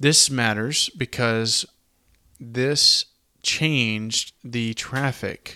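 Very slowly and with a Southern US accent, a man of medium pitch speaks in a bright, sharp tone with fairly even intonation, the sound dry and close with no echo. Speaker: podcast host. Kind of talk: casual history podcast narration.

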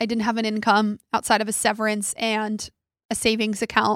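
Recorded very cleanly against a silent background, a woman's fairly high voice has a dry, close sound with no echo. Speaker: podcast host. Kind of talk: casual monologue. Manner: fast.

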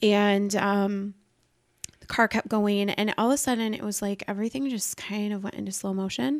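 Using a normal speaking voice, a woman speaks at a moderate pace with a medium pitch, ordinary pitch variation and big swings in loudness. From Iowa. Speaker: podcast guest. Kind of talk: casual chat.

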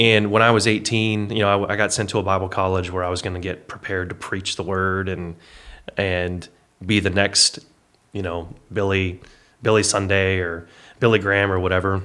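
A man's bright, sharp tone at a fairly low pitch, monotone and flat, at a moderate pace. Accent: American. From Texas. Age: 30s. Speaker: fitness business owner. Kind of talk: casual interview.

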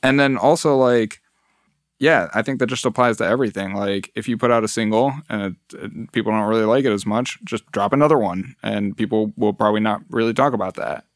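A man with a Midwestern US accent speaks at a fairly quick pace, medium in pitch with ordinary variation, in a dry, close sound with no echo on a very clean recording with a silent background. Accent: US Midwest. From Metro Detroit, Michigan. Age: 20s. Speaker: musician. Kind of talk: casual chat. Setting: studio.

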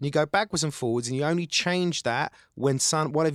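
With a Cockney accent, a man talks very fast and with lively intonation in a dry, close sound with no echo. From East London, England. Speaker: actor and writer. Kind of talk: casual chat. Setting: studio.

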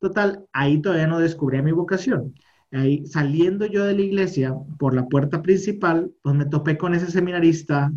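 Here a man talks with a fairly high pitch. His pace is moderate. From northern Mexico, Monterrey. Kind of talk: interview testimony.

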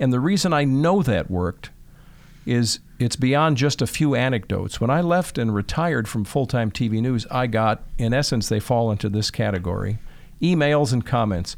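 A man with a medium pitch and an American accent talks at a moderate pace with lively intonation. He has a plain, everyday voice. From Chicago, Northwest Side. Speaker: TV meteorologist and broadcaster. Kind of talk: interview.

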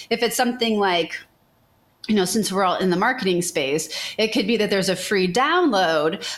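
A woman with an unremarkable speaking voice talks at a moderate pace and medium pitch, with ordinary pitch variation and very even loudness. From Chicago area. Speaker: social media marketing agency owner. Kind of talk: interview.

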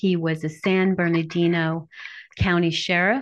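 A woman speaks fairly slowly in a plain, everyday voice over a quiet background. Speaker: podcast host.

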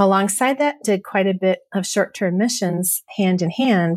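In a Minnesota accent, a woman speaks at medium pitch and a moderate pace. The recording is very clean, with a silent background. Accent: North Central US, Minnesota. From US Midwest, Michigan.

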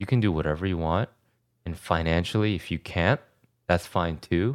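With an American accent, a man speaks at a very deep, low pitch and ordinary pitch variation, his sound dry and close with no echo in a very clean recording over a silent background. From New Jersey and South Korea. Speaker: podcast co-host. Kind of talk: casual chat.

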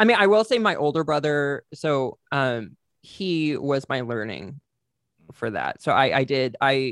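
Against a quiet background, a man with an American accent speaks in an ordinary speaking voice, fairly high in pitch, with lively intonation and a dry, close sound with no echo. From Texas, small town near Fort Worth. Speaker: podcaster and theater person. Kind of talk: casual chat. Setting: video call.

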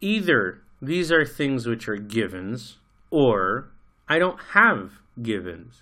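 With an American accent and a bright, sharp tone, a man speaks very slowly at medium pitch, his pitch swinging very widely, on a very clean recording with a silent background. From United States. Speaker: podcast co-host. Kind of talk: casual discussion. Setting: studio.

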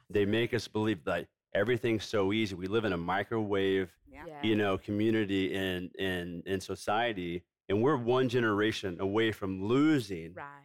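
Here is a man with an ordinary speaking voice. His pitch is fairly low. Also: ordinary pitch variation, moderate pace. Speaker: food company founder. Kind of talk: casual chat.

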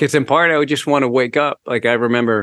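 With a plain, everyday voice, a man speaks fairly quickly. His intonation stays fairly even. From United States (born in Canada). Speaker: author, former radio DJ and stand-up comedian. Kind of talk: interview conversation.

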